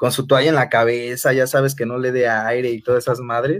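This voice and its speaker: Here a man is speaking. He goes at a fairly quick pace. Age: 30s. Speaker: former coworker. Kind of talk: casual chat. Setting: video call from home.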